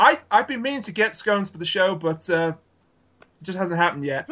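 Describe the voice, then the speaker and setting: A man's raised, projected voice, high-pitched, with a bright, sharp tone, lively intonation and a British accent. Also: fairly quick pace. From Britain. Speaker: podcast guest, Let's Player and podcast host. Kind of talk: casual, wry.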